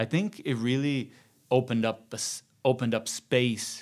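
The speaker has a Brazilian accent and fairly even intonation. The recording is very clean, with a silent background. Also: man. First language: Portuguese. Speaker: journalist and TV presenter. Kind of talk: casual interview conversation.

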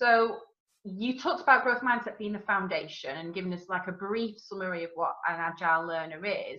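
A woman speaks at a fairly quick pace and medium pitch, with ordinary pitch variation. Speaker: podcast co-host and teacher. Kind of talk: interview. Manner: excited.

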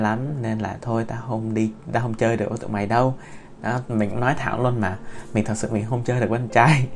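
A man speaks at medium pitch with ordinary pitch variation. Noticeable background noise and audible room echo are present. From Vietnam. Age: 20s. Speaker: podcaster. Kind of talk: personal storytelling monologue. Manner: gentle; halting, many fillers.

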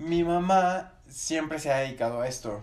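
A man's voice with ordinary pitch variation, noticeable background noise and audible room echo. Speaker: paranormal enthusiast. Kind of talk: casual chat.

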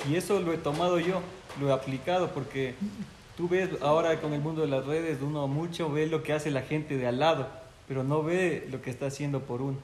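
A man speaks at a fairly quick pace with a fairly high pitch. Noticeable background noise and audible room echo surround his voice. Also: fairly even intonation. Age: 20s. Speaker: journalist. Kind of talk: casual interview.

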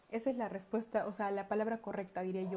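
A woman speaks at a fairly quick pace. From Peru, Andahuaylas (Apurímac). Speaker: holistic coach. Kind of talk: personal testimony talk. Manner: hesitant, many fillers.

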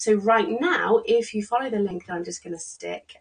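Here a woman talks with an English accent. Her pace is moderate. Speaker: psychologist and business coach. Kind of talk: solo business tutorial. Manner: casual, hesitant with fillers.

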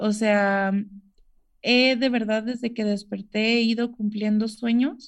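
The speaker is a woman with a fairly slow pace. Fairly even intonation marks her delivery. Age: 20s. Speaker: COVID survivor and amputee. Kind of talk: interview testimony. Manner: hesitant with many fillers.

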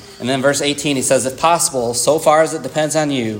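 Intonation stays fairly even. Audible room echo and noticeable background noise surround the voice. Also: man. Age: 40s. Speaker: preacher. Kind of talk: sermon. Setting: church.

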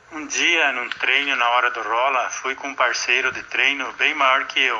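Noticeable background noise sits behind a man's fairly high voice. He speaks at a moderate pace in a flat monotone. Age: 50s. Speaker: retired security guard, jiu-jitsu student. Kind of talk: interview answers.

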